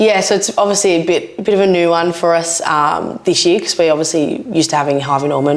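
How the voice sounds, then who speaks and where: Over noticeable background noise, a woman with an Australian accent talks very fast in a very deep, low voice with ordinary pitch variation. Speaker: rugby league player. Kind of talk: casual interview chat. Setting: studio. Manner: loud.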